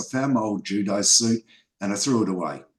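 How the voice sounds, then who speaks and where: A man with an Australian accent talks in a fairly low register. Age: 60s. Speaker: filmmaker and martial artist. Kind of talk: interview.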